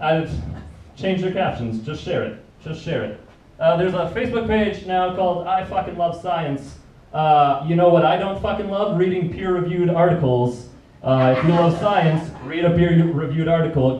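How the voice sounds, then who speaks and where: Against noticeable background noise and audible room echo, a man speaks with a high pitch. His intonation is lively, and his pace is moderate. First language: not English. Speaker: stand-up comedian. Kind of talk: stand-up. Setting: stage with audience.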